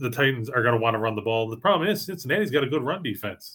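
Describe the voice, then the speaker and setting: This man has a plain, everyday voice with an American accent. His pitch sits in the medium range. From western New York, Buffalo area. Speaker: sports betting handicapper, podcast host. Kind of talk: casual sports betting chat.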